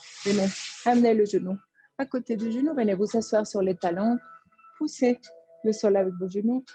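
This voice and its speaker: A woman with a fairly high pitch has a dark, mellow, somewhat breathy tone and ordinary pitch variation. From Colombia. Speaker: yoga teacher. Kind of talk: yoga class instruction.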